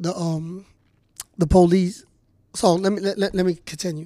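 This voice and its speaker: With an American accent, this voice moves along at a moderate pace. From New Jersey, Camden. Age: 40s. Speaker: exonerated former prisoner. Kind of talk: interview testimony. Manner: halting, frequent repetitions.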